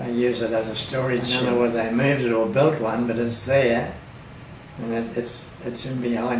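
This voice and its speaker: A man with an Australian accent, medium pitch and moderate pace, over noticeable background noise. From Bundaberg, Queensland, Australia. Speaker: local resident recalling town history. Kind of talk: oral history interview answer.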